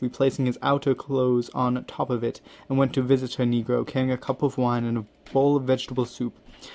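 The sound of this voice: The clip presents an unforced reading voice.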